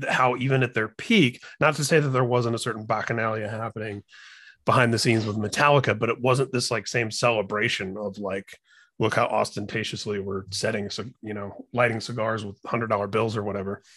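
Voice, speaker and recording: With an American accent, a man speaks in a plain, everyday voice at a medium pitch, a fairly quick pace and fairly even intonation. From Indiana, US Midwest. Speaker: podcast host. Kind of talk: casual chat.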